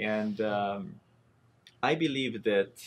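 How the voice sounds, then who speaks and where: The man's voice sits fairly low in pitch. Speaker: technology architect. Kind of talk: interview. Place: studio.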